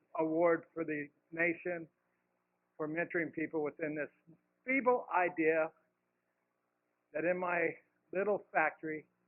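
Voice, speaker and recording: A man's high-pitched voice at a fairly slow pace, with a Californian accent. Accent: General American (Californian). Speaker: CEO of a peer recovery art nonprofit. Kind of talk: conference talk.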